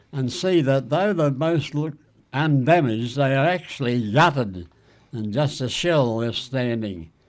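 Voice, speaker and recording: Here a man with an Australian accent speaks at a moderate pace and a fairly high pitch. The recording is very clean, with a silent background. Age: 80s+. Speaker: war veteran. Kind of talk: reading aloud from an old letter.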